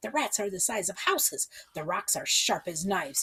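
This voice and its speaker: A woman performs a put-on character voice. Her pitch swings very widely. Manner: wailing, frantic.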